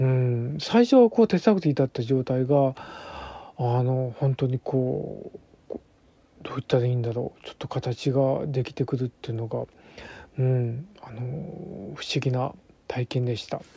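A man's somewhat breathy, dark, mellow voice at a medium pitch, fairly slow in pace, with ordinary pitch variation and a dry, close sound with no echo. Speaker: bunraku puppeteer. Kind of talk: casual monologue. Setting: home recording. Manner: relaxed, many fillers.

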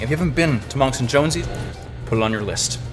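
Clear music plays in the background. Over it, a man talks at a very fast pace. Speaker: travel vlogger. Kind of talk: casual vlog chat. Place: cafe. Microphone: phone near.

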